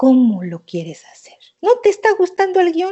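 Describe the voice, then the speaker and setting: A woman talks in a warm, animated tone, her pitch swinging very widely. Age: 60s. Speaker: thanatologist and therapist. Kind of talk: interview conversation.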